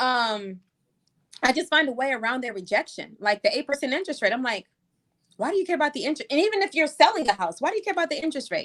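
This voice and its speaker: Her high pitch swinging very widely, a woman talks at a very fast pace in an animated tone, the sound dry and close with no echo. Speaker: real estate agent. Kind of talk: casual chat.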